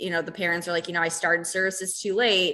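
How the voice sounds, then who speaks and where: A woman speaks with an American accent at a fairly low pitch. Her tone is bright and sharp. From Chicago, South Side. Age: 20s. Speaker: special recreation head coach. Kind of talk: radio interview.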